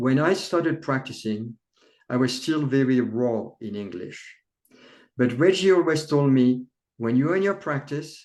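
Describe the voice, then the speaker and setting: A man with a non-native accent, fairly high-pitched, fairly slow, with lively intonation. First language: not English. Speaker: chiropractor, author. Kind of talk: interview conversation.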